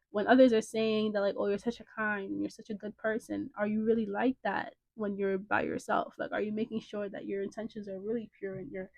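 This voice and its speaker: Speaking at a fairly quick pace, a woman has a normal speaking voice. Her pitch is medium and her intonation fairly even. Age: young. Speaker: podcast co-host. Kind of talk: casual podcast discussion. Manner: rambling, filler-heavy.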